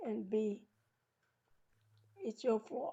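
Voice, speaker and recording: Her voice sits at a fairly high pitch. The woman speaks with a strong New York accent. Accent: New York accent, still strong. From New York City, then US South. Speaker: podcast host. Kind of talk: interview podcast.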